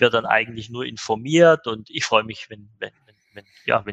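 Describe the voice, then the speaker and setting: Fairly quick speech with a dry, close sound and no echo. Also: man. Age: 50s. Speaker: managing director of an e-commerce agency. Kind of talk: podcast interview.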